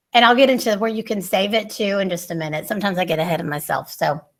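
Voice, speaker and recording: The woman's speech runs at a very fast clip. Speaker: workshop presenter for teachers. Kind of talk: online training workshop.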